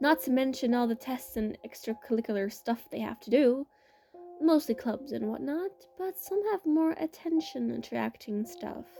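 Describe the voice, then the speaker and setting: A woman speaks in a high voice over background music. Her pitch swings very widely. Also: moderate pace. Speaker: amateur story writer and reader. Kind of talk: read fiction story.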